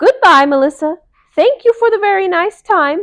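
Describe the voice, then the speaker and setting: A woman does a squeaky put-on character voice at an extremely high pitch, talking at a moderate pace. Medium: read story. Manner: timid.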